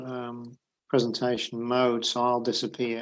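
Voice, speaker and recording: A man with a British accent, medium pitch, monotone and flat intonation, and a fairly slow pace. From Britain. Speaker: accounting professor. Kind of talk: lecture. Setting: video call. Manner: halting.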